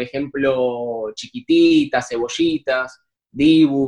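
In a Rioplatense accent, a man with a fairly high pitch and ordinary pitch variation is heard in a dry, close sound with no echo. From Argentina, Buenos Aires. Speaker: actor. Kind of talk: casual interview chat. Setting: remote call from home.

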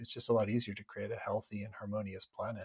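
A man with an American accent has an ordinary speaking voice, a medium pitch and fairly even intonation. The recording is very clean with a silent background and a dry, close sound with no echo. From US Midwest, Minnesota. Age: 50s. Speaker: spiritual entrepreneur and company founder. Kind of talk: interview conversation.

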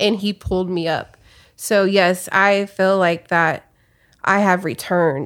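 In a very clean recording with a silent background, a woman with a plain, everyday voice talks at a medium pitch and a fairly slow pace with fairly even intonation. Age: 30s. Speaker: podcast guest sharing faith story. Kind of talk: testimony.

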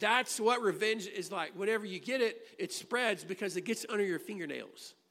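A man with an American accent in a raised, projected voice, high-pitched and bright and sharp in tone, fairly even intonation, moderate pace, very clean recording with a silent background. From US Midwest, Illinois. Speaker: pastor. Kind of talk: sermon. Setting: church.

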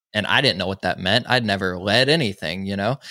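A man with a Southern US accent speaks in a bright, sharp tone, the sound dry and close with no echo. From US South, Georgia (small town). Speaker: podcast host and mental health advocate. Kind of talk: testimony interview. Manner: animated.

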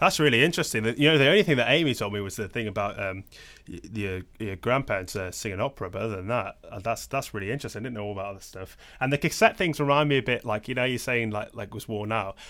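The voice has a bright, sharp tone and big swings in loudness at a very fast pace. The recording is very clean, with a silent background. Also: man, medium pitch for a man, ordinary pitch variation. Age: young. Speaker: podcast host and musician. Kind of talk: casual interview chat. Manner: halting, filler-heavy.

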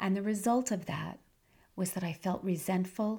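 At a fairly slow pace, a woman speaks in a medium pitch with a dark, mellow, somewhat breathy tone and fairly even intonation. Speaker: podcast host, health and life coach. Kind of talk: solo podcast talk.

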